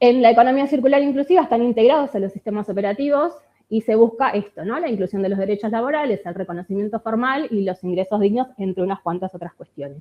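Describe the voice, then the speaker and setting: A woman talks very fast at a fairly high pitch, with hardly any pauses. Her intonation is lively and her loudness swings widely. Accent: Rioplatense. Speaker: researcher and industrial designer. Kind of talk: conference talk. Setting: conference with audience.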